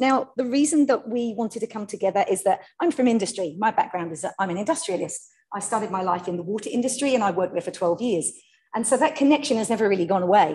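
A woman with a dark, mellow tone and a somewhat breathy sound races along at a very fast pace. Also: lively intonation. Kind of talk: keynote talk.

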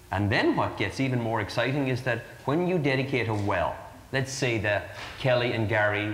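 A man with an Irish accent speaks at a moderate pace with ordinary pitch variation and very even loudness, over light background noise with audible room echo. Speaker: charity fundraiser for water wells. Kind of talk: interview answer. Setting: live broadcast before an audience. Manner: earnest, persuasive pitch. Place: studio. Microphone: lapel.

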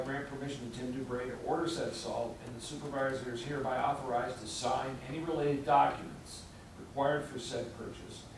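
At a fairly quick pace, a man speaks with audible room echo and light background noise. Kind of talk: formal reading of resolution. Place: meeting room.

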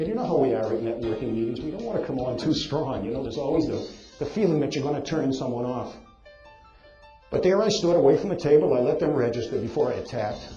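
The speech races along at a very fast pace with lively intonation. Music plays in the background. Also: man, fairly high pitch for a man. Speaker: motivational speaker. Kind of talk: motivational talk to live audience.

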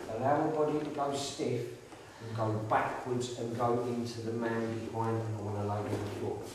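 At a moderate pace with hardly any pauses, the speech carries strong room echo and noticeable background noise. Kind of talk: ghost hunt séance. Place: empty room. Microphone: camera far.

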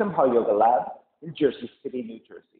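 There is audible room echo around the voice. The pace is moderate. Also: man. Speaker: yoga teacher. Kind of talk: class introduction. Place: gym. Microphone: camera far.

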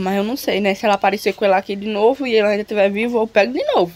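The voice moves at a very fast pace with ordinary pitch variation over light background noise. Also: woman. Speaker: vlogger. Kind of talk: casual vlog chat. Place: home room. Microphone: phone near.

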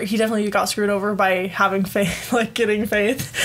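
Noticeable background noise sits behind a woman with an American accent and a fairly high pitch. She talks at a very fast pace with fairly even intonation. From Utah. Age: 20s. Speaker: podcast host. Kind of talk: casual chat. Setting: home recording with guests.

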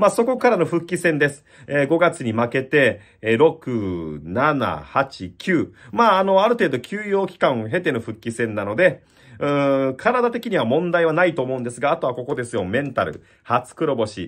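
This man talks at a moderate pace in a fairly high voice with very wide pitch swings. His tone is energetic, and the background is quiet. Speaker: bullfighting commentator. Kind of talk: event preview talk to camera. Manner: lively, energetic. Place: home room. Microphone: phone near.

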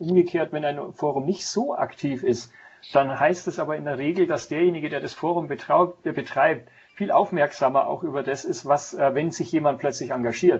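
A man speaks in a somewhat breathy voice over light background noise. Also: ordinary pitch variation, moderate pace. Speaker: guest. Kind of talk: interview answer. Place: office.

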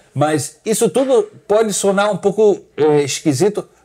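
This man's delivery is fairly slow. He uses lively intonation. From Argentina, raised partly in Brazil and the US. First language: English and Portuguese (bilingual) (speaking Portuguese). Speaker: winery CEO. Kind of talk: casual interview about wine. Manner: halting, with many hesitations.

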